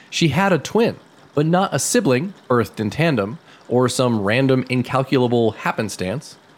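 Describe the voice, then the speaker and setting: This man's voice sits at a medium pitch and moves at a moderate pace. His pitch swings very widely. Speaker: podcast host. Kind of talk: scripted storytelling with casual banter. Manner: animated, joking.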